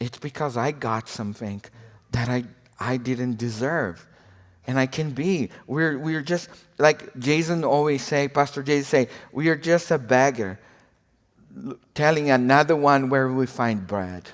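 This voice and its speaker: A man with a non-native accent, medium pitch and ordinary pitch variation, at a fairly slow pace. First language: not English. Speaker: preacher, former missionary. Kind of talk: sermon. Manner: halting, repeats words.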